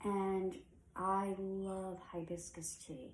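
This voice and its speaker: A woman speaks in a fairly low voice with a dark, mellow tone. Room echo can be heard. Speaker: witchcraft content creator. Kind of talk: tutorial. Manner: slow; casual.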